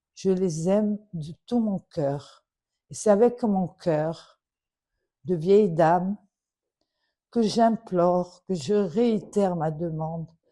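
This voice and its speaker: A dark, mellow tone at a very slow pace, with long, frequent pauses and ordinary pitch variation. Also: woman. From Morocco. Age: 70s. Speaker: daughter of a royal adviser making a public appeal. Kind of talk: personal appeal. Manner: emotional, earnest.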